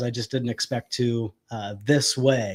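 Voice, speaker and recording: A man with an American accent talks rather slowly. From Ohio, US Midwest. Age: 30s. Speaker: army veteran and prison chaplain. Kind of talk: casual interview.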